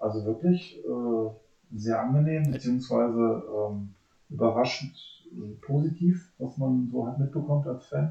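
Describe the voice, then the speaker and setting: A man's somewhat breathy voice, dark and mellow in tone, with ordinary pitch variation and a fairly slow pace. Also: medium pitch for a man. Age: 40s. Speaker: police officer, basketball fan. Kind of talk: casual chat.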